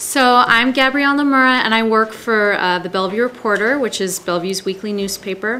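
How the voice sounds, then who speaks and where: A woman with an American accent talks in a fairly high voice with ordinary pitch variation. She barely pauses, and there is noticeable background noise. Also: fairly quick pace. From Seattle, US Pacific Northwest. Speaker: newspaper reporter. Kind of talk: panel discussion.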